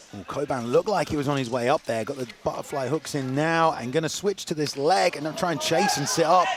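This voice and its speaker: A man at fairly high pitch and a fairly quick pace, with ordinary pitch variation and music in the background. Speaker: MMA commentator. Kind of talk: live commentary. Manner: loud.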